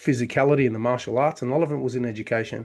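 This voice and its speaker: The speaker is a man with an Australian accent. His intonation stays fairly even. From Australia (Victoria). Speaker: chiropractor and business consultant. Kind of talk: podcast interview.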